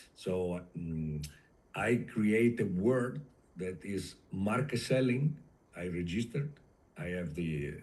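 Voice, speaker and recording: In a room with audible echo, a man speaks with a dark, mellow tone and very wide pitch swings. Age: 60s. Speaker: industrial sales consultant. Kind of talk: interview. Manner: halting, with many fillers.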